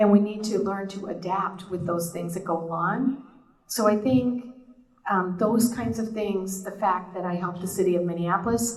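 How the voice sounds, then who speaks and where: A woman talks at a moderate pace with a medium pitch and ordinary pitch variation. The recording has audible room echo and noticeable background noise. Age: 60s. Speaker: board candidate. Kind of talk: candidate forum statement.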